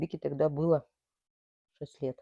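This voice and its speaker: Heard in a dry, close sound with no echo, a woman speaks with a very deep, low pitch and a dark, mellow tone. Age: 60s. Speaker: cancer survivor and amateur painter. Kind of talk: interview testimony.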